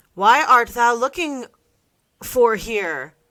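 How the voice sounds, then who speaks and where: A woman puts on a character voice with a high pitch. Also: lively intonation. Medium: read story. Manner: earnest, old-fashioned.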